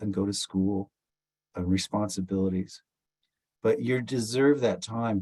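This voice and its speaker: In a dry, close sound with no echo, a man at medium pitch talks at a moderate pace with a dark, mellow tone and fairly even intonation. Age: 60s. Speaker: musician, founding member of a rock band. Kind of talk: interview conversation. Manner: halting, with fillers and restarts.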